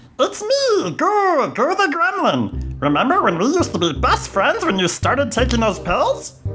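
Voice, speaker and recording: A high-pitched, put-on character voice speaks at a moderate pace. Clear music plays in the background. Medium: audio drama. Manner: scheming, wheedling.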